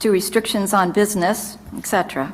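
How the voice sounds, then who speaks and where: A woman at a medium pitch speaks at a moderate pace over noticeable background noise. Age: 60s. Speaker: retiree giving testimony. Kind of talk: testimony. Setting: legislative committee hearing. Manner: formal.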